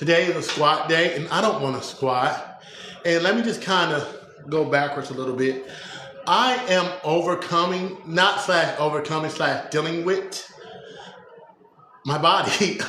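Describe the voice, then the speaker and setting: At a fairly slow pace, a man with a high pitch and ordinary pitch variation leaves long, frequent pauses, heard with audible room echo and noticeable background noise. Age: 40s. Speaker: strongman and powerlifter vlogger. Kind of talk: casual live-stream monologue. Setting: home gym. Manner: stutter.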